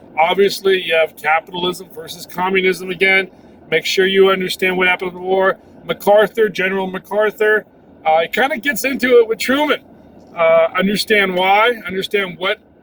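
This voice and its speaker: A man's high voice at a moderate pace, with fairly even intonation, noticeable background noise and a dry, close sound with no echo. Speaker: history teacher. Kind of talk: recorded class lesson preview. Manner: casual, with many fillers.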